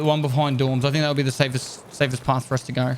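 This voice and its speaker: Speaking at a fairly quick pace, a man talks with a New Zealand accent. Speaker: video game streamer. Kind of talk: gameplay commentary. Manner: casual, thinking aloud.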